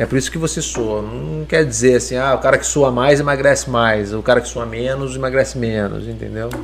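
A man at a fairly quick pace with hardly any pauses, amid noticeable background noise. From interior of São Paulo state, Brazil. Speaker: fitness coach and nutritionist. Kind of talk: casual podcast interview.

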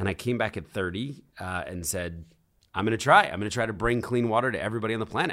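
At a very fast pace, a man with an American accent speaks in a bright, sharp tone at medium pitch with ordinary pitch variation, on a very clean recording with a silent background. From US Northeast, Philadelphia. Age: 40s. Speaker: charity founder and CEO. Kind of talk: casual interview. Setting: in person at a conference in Miami.

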